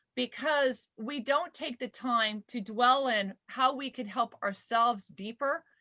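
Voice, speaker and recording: A woman with an American accent speaks at a fairly slow pace with hardly any pauses, her high voice bright and sharp, her pitch varying in an ordinary way, and the sound dry and close with no echo. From southern California. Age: 50s. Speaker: panel moderator. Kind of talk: live panel discussion. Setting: video call livestream.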